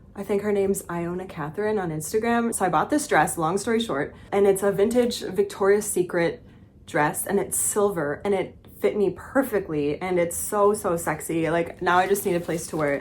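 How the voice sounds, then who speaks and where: A woman talks in a plain, everyday voice at a moderate pace. Her pitch is medium, with ordinary pitch variation. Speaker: vlogger and former fashion photographer. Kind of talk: casual vlog chat.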